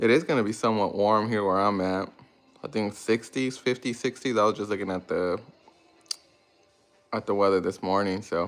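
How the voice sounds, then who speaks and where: A man speaks at a moderate pace with fairly low pitch and fairly even intonation. Long, frequent pauses break up his speech over background music. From Mexican-American family, grew up in US with Spanish at home. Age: 30s. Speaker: lawn care business owner, YouTuber. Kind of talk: casual livestream Q&A. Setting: live stream. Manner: halting, many fillers and restarts.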